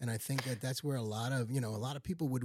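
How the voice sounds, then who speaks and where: Very clean, silent-background recording of a man in an American accent, somewhat breathy, with a dry, close sound and no echo. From Long Island, New York. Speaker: retired engineer and pastor. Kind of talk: casual family interview.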